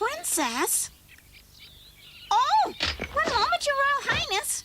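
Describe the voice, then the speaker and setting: In a cartoonish character voice, a woman speaks at a very slow pace with an extremely high pitch and very wide pitch swings. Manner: huffy, scolding.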